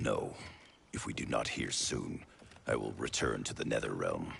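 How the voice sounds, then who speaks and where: A man speaks in a put-on character voice. It sounds raspy. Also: moderate pace. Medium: video game. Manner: guarded, stern.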